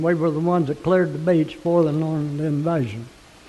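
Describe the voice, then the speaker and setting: High pitch from a man, set against noticeable background noise. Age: 80s+. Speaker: war veteran, public commenter. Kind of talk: public comment.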